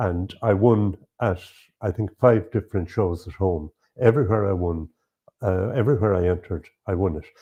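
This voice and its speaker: With an Irish accent, a man speaks at a moderate pace and a fairly low pitch, somewhat breathy, with ordinary pitch variation and long, frequent pauses. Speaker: beekeeper and lecturer. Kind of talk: interview. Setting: at a show. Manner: halting.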